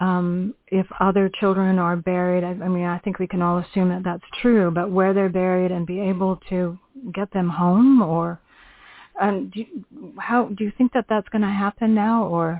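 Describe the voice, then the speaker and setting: A woman with a Canadian accent and an unremarkable speaking voice, medium in pitch, at a moderate pace with fairly even intonation. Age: 60s. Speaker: radio host. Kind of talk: interview.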